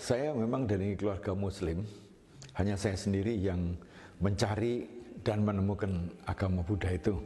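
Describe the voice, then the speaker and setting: Over music in the background, a man with a fairly low pitch talks at a moderate pace, his loudness very even and his pitch varying in an ordinary way. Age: 70s. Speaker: Buddhist monk. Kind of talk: interview testimony. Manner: halting.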